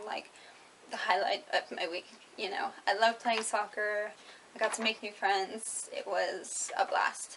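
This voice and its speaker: A woman with an American accent, ordinary pitch variation and a fairly slow pace. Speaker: English teacher moving to Japan. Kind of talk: scripted FAQ read from notes. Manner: hesitant, many filler words.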